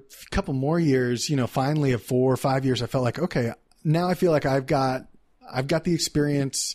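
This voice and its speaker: The speaker has a Texan accent and ordinary pitch variation. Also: man. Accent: Texan American English. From Texas, Dallas. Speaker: entrepreneur. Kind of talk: casual interview. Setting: in person.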